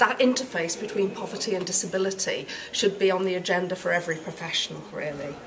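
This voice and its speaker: The speaker has a British accent and talks at a fairly quick pace. There is noticeable background noise. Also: woman. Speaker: university researcher. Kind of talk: academic interview.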